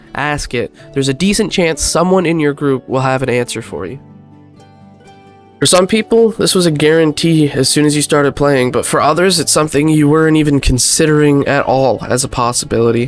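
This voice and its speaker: Music plays in the background as a man speaks at a fairly quick pace. His pitch is fairly high, with ordinary pitch variation. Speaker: gamer, video creator. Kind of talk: casual talk to camera.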